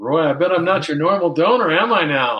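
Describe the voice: In a put-on character voice, a man speaks at a high pitch and fairly quick pace, his intonation lively and his loudness very even.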